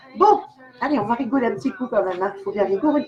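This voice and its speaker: With very wide pitch swings around a medium pitch, the woman sounds animated. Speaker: clairvoyant. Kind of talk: live stream chat. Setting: live video stream.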